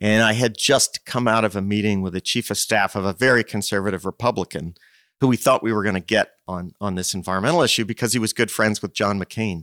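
Speaking at a very fast pace, a man with an American accent has a fairly low pitch. The sound is dry and close, with no echo. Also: ordinary pitch variation. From US Northeast, Princeton, New Jersey. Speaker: nonprofit executive director. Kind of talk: interview.

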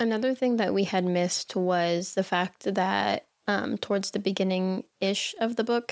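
With a plain, everyday voice, a woman speaks with hardly any pauses on a very clean recording with a silent background and a dry, close sound with no echo. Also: medium pitch for a woman, fairly even intonation, moderate pace. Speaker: book podcast host. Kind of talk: casual chat about a book.

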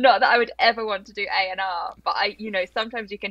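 Fairly quick speech from a woman with a London accent, against a quiet background. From South London, England. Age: 20s. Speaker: PR agency founder. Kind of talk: interview conversation.

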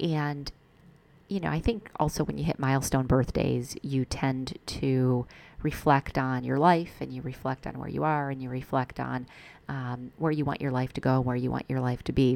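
With an American accent, a woman speaks in a very deep, low pitch with ordinary pitch variation. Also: moderate pace. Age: 40s. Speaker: podcast host and business coach. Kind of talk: solo podcast monologue.

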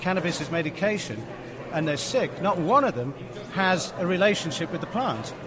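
Lively intonation carries the fairly quick speech, with noticeable background noise behind it. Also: man. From England. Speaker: cannabis activist. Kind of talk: interview.

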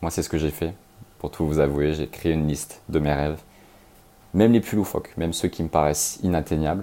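With a very deep, low pitch and a dark, mellow tone, a man talks at a fairly quick pace, his intonation fairly even and broken by long, frequent pauses. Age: 30s. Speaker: podcast host. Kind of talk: motivational monologue.

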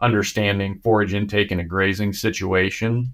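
A man with an American accent speaks at a moderate pace in a fairly low pitch and a monotone, flat intonation, on a very clean recording with a silent background. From Nebraska, US Midwest. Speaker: animal scientist, cattle nutrition expert. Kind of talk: interview. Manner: halting, many fillers and repeats.

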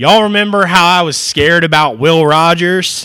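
Animated and bright with a sharp edge, a man speaks high for his sex at a fairly slow pace, his pitch swinging very widely. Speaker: podcast host, college sports. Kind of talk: casual sports banter podcast. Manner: excitable, animated.

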